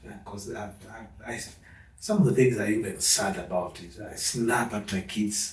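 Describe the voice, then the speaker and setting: A man's fairly low voice at a fairly slow pace, fairly even in intonation, with audible room echo and noticeable background noise. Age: 50s. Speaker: father sharing parenting experience. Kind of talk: interview conversation.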